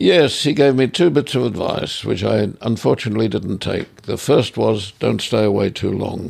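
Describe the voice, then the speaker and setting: A man with an Australian accent talks at a moderate pace and fairly low pitch, with vocal fry and lively intonation. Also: hardly any pauses. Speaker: artist. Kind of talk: interview.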